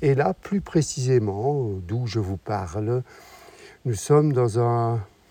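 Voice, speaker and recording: A man speaks at a very slow pace and a medium pitch, with lively intonation. His voice is somewhat breathy and dark and mellow, with a dry, close sound and no echo. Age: 60s. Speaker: travel podcaster. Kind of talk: travel narration.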